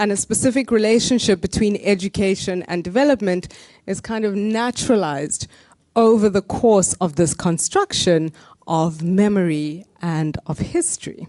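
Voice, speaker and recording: A woman talks at a moderate pace with a medium pitch and ordinary pitch variation. Her tone is dark and mellow, and the sound is dry and close with no echo. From South Africa. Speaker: academic discussant. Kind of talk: academic panel response.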